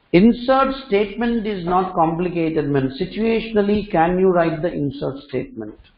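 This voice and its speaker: A man with a high voice talks at a moderate pace with lively intonation and hardly any pauses, and the room echo is audible. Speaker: programming instructor. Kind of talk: lecture.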